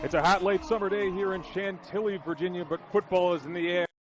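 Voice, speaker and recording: Music plays in the background. A man speaks at a high pitch and a fairly quick pace. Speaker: sports broadcaster, play-by-play announcer. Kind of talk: live sports play-by-play commentary.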